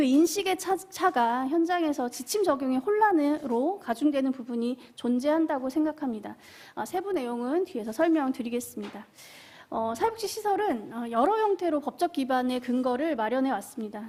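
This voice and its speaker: A woman talks with lively intonation. Her voice sits high in pitch. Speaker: social work association manager, panel discussant. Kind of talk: panel discussion remarks. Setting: seminar room at a public forum. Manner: fast; hesitant with fillers.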